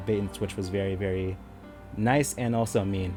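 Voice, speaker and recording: Music plays in the background. A man speaks at a fairly low pitch with ordinary pitch variation. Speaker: gaming youtuber. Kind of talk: casual video commentary. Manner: animated.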